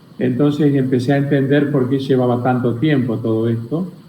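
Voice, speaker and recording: With a dark, mellow tone at a medium pitch, a man speaks at a moderate pace with fairly even intonation, and audible room echo is present. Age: 60s. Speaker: spiritual teacher. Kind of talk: interview.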